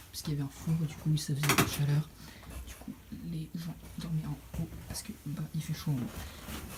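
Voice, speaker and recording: The voice is soft-spoken. It keeps a moderate pace. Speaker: travel vlogger. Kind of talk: casual vlog tour. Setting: outdoors and inside museum houses. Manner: hesitant, many fillers; speaking softly indoors.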